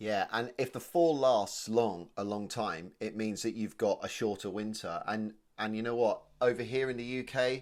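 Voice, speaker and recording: At a moderate pace, the speaker uses a southern English accent with ordinary pitch variation and hardly any pauses. The recording is very clean, the background silent. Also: man, medium pitch for a man. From England, Oxfordshire (Kidlington). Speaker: comedy podcast co-host. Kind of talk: casual chat. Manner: animated.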